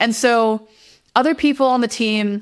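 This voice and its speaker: An animated woman's voice comes through on a very clean recording with a silent background. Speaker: software engineer and former teacher. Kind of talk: podcast interview. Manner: loud; animated, emotional.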